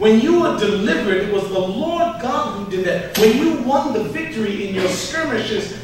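A man with a high pitch speaks at a moderate pace, with very wide pitch swings. Strong room echo and light background noise surround him. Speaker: pastor. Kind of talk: sermon. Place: church.

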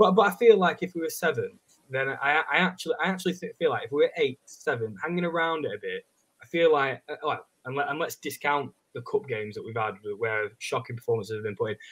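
With an English accent, a man speaks. His pace is very fast. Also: fairly high pitch for a man. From England. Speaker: football fan. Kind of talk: casual chat. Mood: frustrated, reflective. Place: home room.

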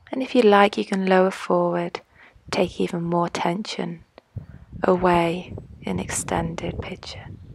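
Woman at a fairly slow pace, dry sound with no echo and light background noise. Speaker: yoga instructor. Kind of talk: yoga instruction.

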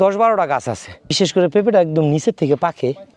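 In a normal speaking voice, a man talks with ordinary pitch variation, the sound dry and close with no echo. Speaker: hobby farmer vlogger. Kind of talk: garden tour vlog. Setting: outdoors.

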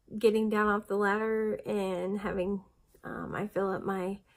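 Over a quiet background, a woman talks at a very slow pace with monotone, flat intonation. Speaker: weight-loss vlogger. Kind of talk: casual vlog chat. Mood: chatty, occasional laughs. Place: home room. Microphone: phone near.

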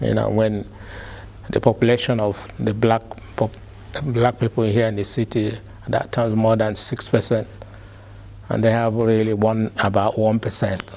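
Using monotone, flat intonation, a man talks at a moderate pace broken by long, frequent pauses. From Nigeria. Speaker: community activist, engineer. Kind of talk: oral history interview answer. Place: studio. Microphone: lapel.

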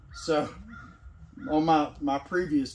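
A man with a fairly high voice speaks very slowly with lively intonation. Light background noise runs underneath. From Tennessee. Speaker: sawmill owner. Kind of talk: casual chat. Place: farm machine. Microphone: camera far.

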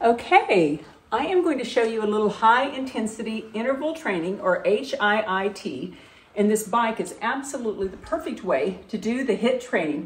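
A woman's voice with lively intonation at a moderate pace. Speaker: fitness vlogger. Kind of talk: casual vlog chat.

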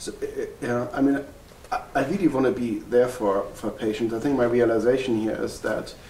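A man with a German accent speaks with ordinary pitch variation. Audible room echo and light background noise are present. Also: moderate pace. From Germany. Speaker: family physician. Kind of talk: interview. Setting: workshop retreat. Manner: halting, with many fillers. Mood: reflective, earnest. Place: home room.

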